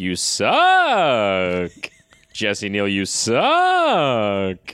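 The speaker's pitch is fairly low for a man. He performs a put-on character voice. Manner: booming, enunciated.

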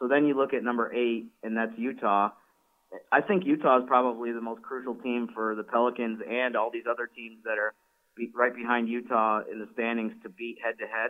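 Speaking with an American accent, a man talks at a fairly quick pace and medium pitch, his intonation monotone and flat. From upstate New York (Syracuse area). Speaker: team website reporter. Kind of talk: casual sports talk.

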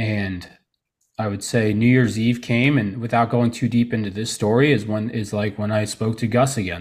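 A plain, everyday voice moves at a moderate pace with fairly even intonation in a very clean recording with a silent background. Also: man, medium pitch for a man. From Florida (Tarpon Springs area), born in Trenton, New Jersey. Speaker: men's coach and summit organizer. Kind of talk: interview, personal testimony.

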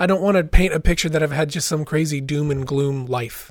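Speaking at a fairly quick pace with fairly even intonation, a man with an American accent has a plain, everyday voice and a fairly high pitch. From US West, southern Oregon. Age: 40s. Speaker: singer-songwriter. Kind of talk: personal testimony in interview.

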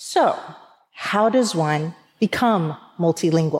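The woman's voice shows ordinary pitch variation. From US South, rural East Tennessee. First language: Persian. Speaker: nonprofit and philanthropy executive. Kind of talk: talk to an audience.

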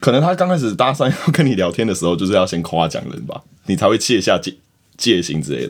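Speaking very fast, a man with a medium-pitched voice shows very wide pitch swings and vocal fry. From Taiwan. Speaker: podcast co-host. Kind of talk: casual chat.

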